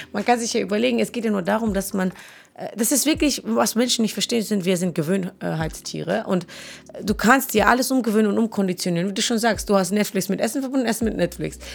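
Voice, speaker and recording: A woman talks at a very fast pace. Vocal fry runs through her voice. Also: medium pitch for a woman, ordinary pitch variation. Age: 30s. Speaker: podcast co-host. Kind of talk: casual chat.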